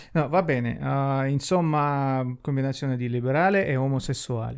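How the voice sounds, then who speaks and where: This is a man with a Russian accent. The background stays quiet. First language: Russian (speaking Italian). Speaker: YouTuber; podcast co-host. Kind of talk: casual chat. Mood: playful, joking. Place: home room. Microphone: handheld.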